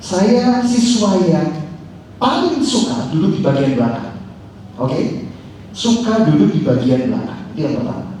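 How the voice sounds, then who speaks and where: At a fairly slow pace, a man's high-pitched voice moves through very wide pitch swings, with audible room echo and noticeable background noise. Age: 20s. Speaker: social media consultant and former radio announcer. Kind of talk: talk show conversation. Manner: animated.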